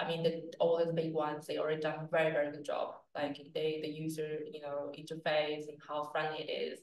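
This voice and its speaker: A woman talks in a very deep, low pitch with a flat, monotone intonation at a fairly quick pace, hardly pausing at all. Light background noise and audible room echo are present. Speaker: crypto exchange executive. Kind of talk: interview. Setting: office. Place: office.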